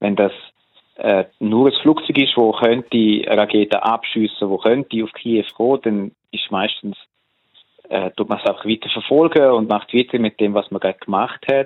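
This man's voice sits at a medium pitch. His intonation is fairly even. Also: moderate pace. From Switzerland, Buchs, canton St. Gallen. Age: 40s. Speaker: political analyst and social scientist. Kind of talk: casual interview. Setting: phone call. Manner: hesitant with many fillers.

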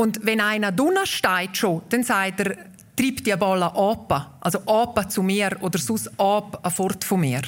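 A woman talks at a very slow pace with a medium pitch. Her loudness stays very even, with ordinary pitch variation. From Graubünden, Obersaxen (Walser). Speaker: dialect association president, author. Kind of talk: interview.

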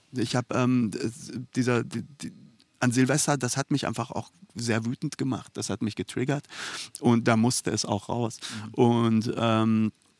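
A man talks at a fairly slow pace with long, frequent pauses, a medium pitch and fairly even intonation, in a dry, close sound with no echo. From Iran, raised in Germany from age 9-10. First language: Persian (speaking German). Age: 40s. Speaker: author. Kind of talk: interview. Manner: halting, many fillers.

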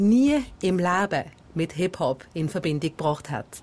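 With a normal speaking voice, a woman talks at a fairly slow pace using lively intonation. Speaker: podcast host. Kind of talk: documentary narration.

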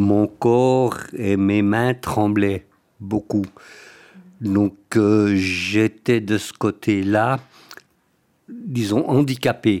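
This man talks at a very slow pace with a fairly low pitch. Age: 70s. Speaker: patient, retired bank employee. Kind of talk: interview.

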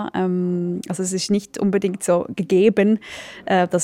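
Flat and monotone, a woman speaks over noticeable background noise. The sound is dry and close, with no echo. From Switzerland. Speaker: theatre director. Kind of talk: interview.

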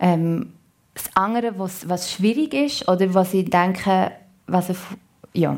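A woman speaks at a very slow pace with a Solothurn accent. Her pitch sits in the medium range. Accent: Solothurn Swiss German dialect. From Switzerland, canton Solothurn. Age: 30s. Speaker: actress. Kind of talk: radio talk show interview. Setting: radio studio.

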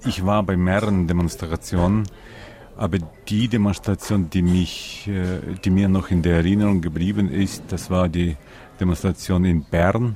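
A man with a Ukrainian accent talks at a very deep, low pitch and a moderate pace, with long, frequent pauses. His intonation stays fairly even, and his loudness is very even. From Ukraine. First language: Ukrainian (speaking German). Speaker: interviewee, Ukrainian living abroad. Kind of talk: interview.

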